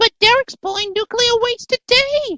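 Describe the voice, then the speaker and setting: A squeaky, put-on character voice from a woman, extremely high in pitch, at a moderate pace with ordinary pitch variation, in a dry, close sound with no echo. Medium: read story. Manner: worried, earnest.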